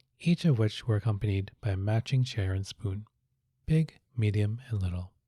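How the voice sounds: The delivery is a natural reading voice with ordinary pitch variation. The background is quiet.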